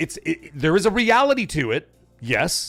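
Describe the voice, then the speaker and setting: A man's voice carries vocal fry on a very clean recording with a silent background. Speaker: gaming livestream host. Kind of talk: casual live-stream commentary. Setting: live stream. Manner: fast.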